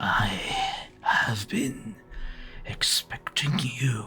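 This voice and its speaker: A man whispers in a raspy, put-on character voice. Clear music plays in the background. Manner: kind, patient, whispering.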